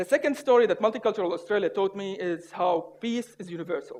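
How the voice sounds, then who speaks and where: A man with a non-native accent speaks at a high pitch. He moves at a fairly quick pace with ordinary pitch variation. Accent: noticeable foreign. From Syria. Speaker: public speaker. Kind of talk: humorous contest speech.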